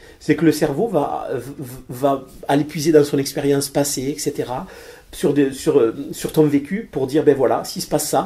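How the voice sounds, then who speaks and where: In a Toulouse accent, a man with a fairly high pitch and a dark, mellow, somewhat breathy tone talks at a moderate pace with fairly even intonation. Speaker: financier. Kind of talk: interview. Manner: hesitant, many fillers and repetitions.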